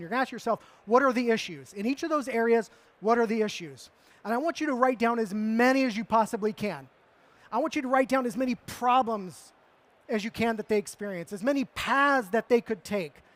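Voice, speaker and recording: With a dry, close sound and no echo, a man speaks at a fairly quick pace and an extremely high pitch with ordinary pitch variation. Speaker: marketing speaker. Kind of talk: conference talk. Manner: fast.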